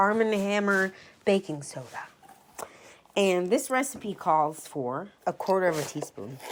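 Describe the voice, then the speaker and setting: Speaking at a fairly slow pace, a woman of medium pitch uses lively intonation. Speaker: baking podcast host. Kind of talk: casual cooking tutorial. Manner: casual, with filler words; occasional stumbling.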